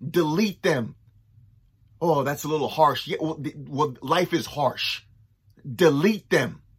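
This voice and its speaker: A somewhat breathy, animated man's voice at a fairly high pitch, with ordinary pitch variation and long, frequent pauses. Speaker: motivational speaker. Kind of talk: pep talk. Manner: encouraging, repetitive.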